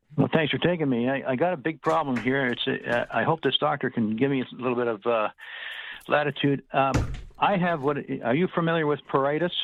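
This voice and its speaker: With music playing behind him, a man speaks rather quickly, his voice sitting fairly high and moving in pitch in an ordinary way. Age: 70s. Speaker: caller. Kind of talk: call-in question. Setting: phone call. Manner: halting.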